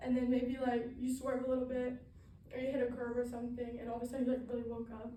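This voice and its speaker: A woman's high-pitched, dark, mellow voice at a very fast pace, monotone and flat in intonation, with audible room echo. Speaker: student. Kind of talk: class presentation speech. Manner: halting, many fillers.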